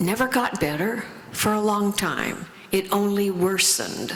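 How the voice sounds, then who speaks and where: Amid noticeable background noise and audible room echo, a woman with an American accent speaks at a very slow pace. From US Midwest, Lafayette Indiana. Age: 80s+. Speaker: recovery speaker. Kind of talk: testimony.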